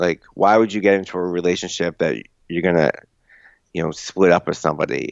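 With an American accent, a man whose voice is very deep and low talks at a fairly quick pace, using ordinary pitch variation and long, frequent pauses. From US Northeast, outside Boston. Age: 30s. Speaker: travel blogger and author. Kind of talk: interview conversation. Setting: phone call.

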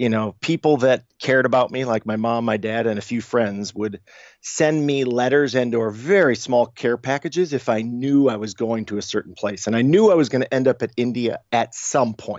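Speaking with a slight Chicago accent, a man barely pauses as his pitch varies in an ordinary way. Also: medium pitch for a man, moderate pace. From Chicago, US Midwest. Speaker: travel website co-founder. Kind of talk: interview conversation.

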